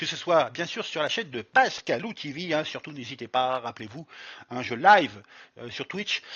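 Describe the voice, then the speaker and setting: Lively intonation and a fairly high pitch from a male speaker. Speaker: streamer and YouTuber. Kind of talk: tutorial. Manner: halting, many fillers.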